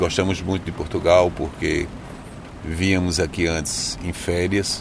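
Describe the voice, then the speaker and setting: Monotone, flat intonation at a fairly slow pace, with noticeable background noise and audible room echo. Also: man. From Brazil, Recife. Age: 50s. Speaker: journalist turned ride-share driver. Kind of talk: interview.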